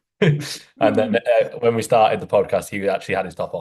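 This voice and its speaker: A man with a Yorkshire accent at a moderate pace. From northern England, near Doncaster. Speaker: physique coach and podcast host. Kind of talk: casual podcast chat.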